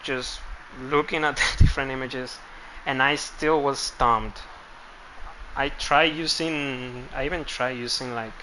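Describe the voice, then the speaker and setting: A man with a non-native accent speaks at a fairly slow pace in a fairly high voice, his intonation fairly even and broken by long, frequent pauses. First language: not English. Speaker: game streamer. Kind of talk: live gameplay stream commentary. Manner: casual, hesitant with repetitions.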